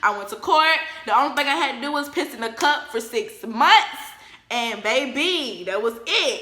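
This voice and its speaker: An animated, high-pitched woman's voice, raised and projected, with very wide pitch swings at a moderate pace, amid noticeable background noise and audible room echo. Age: 20s. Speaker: YouTuber. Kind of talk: storytime vlog. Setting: living room at home.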